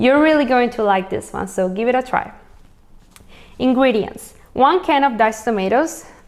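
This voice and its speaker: A woman's high voice with lively intonation at a moderate pace. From Venezuela. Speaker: cooking channel host. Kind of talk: cooking tutorial. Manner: animated.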